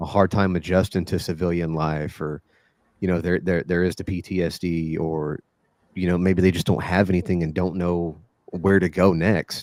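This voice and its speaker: Spoken at a moderate pace with an American accent, the voice stays monotone with flat intonation. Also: man, very deep, low pitch for a man. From Texas. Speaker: Brazilian jiu-jitsu coach. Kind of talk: podcast interview answer. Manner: casual.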